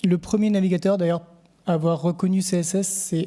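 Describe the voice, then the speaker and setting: A man speaks at a moderate pace with a high pitch. His tone is dark and mellow. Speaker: conference speaker, web developer. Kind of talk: conference talk. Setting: stage with audience. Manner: hesitant, many fillers.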